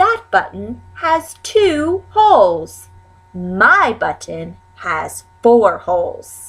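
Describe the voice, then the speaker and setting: Over faint music in the background, a woman performs a put-on character voice with fairly high pitch at a very slow pace. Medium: read story.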